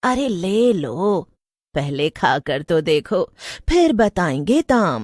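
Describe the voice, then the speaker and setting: Using a put-on character voice, a woman of medium pitch speaks very slowly, her pitch swinging very widely. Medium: read story. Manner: sly, mocking.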